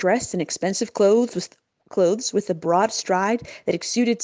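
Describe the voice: The reading aloud is plain, and the background is quiet.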